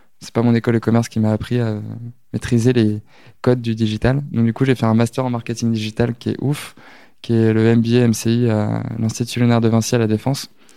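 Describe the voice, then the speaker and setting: A man with a dark, mellow tone speaks in a monotone, flat intonation in a very clean recording with a silent background. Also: medium pitch for a man, fairly quick pace. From Normandy, France. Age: 20s. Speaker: social media manager. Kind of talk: interview. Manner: hesitant, many fillers.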